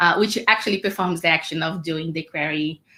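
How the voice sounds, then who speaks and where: A woman speaks with a fairly low pitch and a bright, sharp tone, her intonation fairly even, on a very clean recording with a silent background. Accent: Portuguese. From Brazil. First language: Portuguese. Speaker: developer advocate. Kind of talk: technical code demo.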